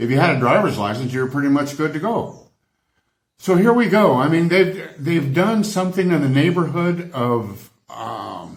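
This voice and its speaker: A man talks at a moderate pace in an American accent, somewhat breathy and with lively intonation. Audible room echo surrounds his voice. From United States. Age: 70s. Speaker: travel vlogger. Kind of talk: opinionated rant to camera. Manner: animated, exasperated.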